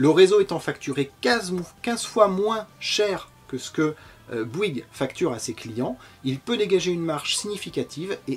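With lively intonation, a man speaks at a moderate pace. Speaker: presenter. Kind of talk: explainer lecture.

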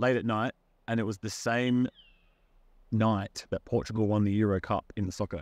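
An Australian-accented man at a moderate pace, fairly low in pitch, flat and monotone, with dry sound and no echo. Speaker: musician, busker. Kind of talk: interview answer. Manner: casual, relaxed. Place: garden.

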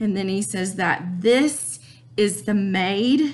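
Very slowly, a woman speaks with lively intonation and a somewhat breathy quality. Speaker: teacher. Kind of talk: lecture. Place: home room. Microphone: webcam.

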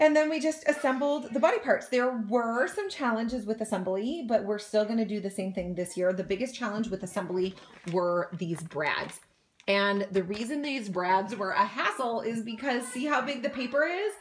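Against light background noise, a woman speaks at a moderate pace with lively intonation. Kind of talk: tutorial. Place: home room. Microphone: phone near.

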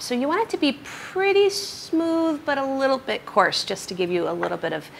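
A woman's raised, projected voice over light background noise. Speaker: cooking show host. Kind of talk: tutorial. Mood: cheerful, playful. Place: kitchen.

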